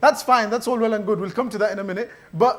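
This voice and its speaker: Against noticeable background noise, a man speaks in an extremely high pitch. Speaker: mosque youth speaker. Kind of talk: religious talk. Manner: fast; casual.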